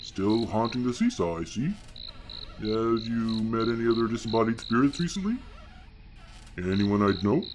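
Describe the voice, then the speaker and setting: Using a put-on character voice at a medium pitch, a man talks at a moderate pace over clear background noise. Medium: audio drama. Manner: deadpan, ominous.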